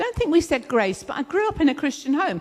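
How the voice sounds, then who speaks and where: A woman talks at a fairly quick pace in a southern English accent. Noticeable background noise runs behind her. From southern England (London, then Kent). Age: 60s. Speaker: speaker sharing testimony, counselor. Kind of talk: testimony. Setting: church event, speaking in front of audience.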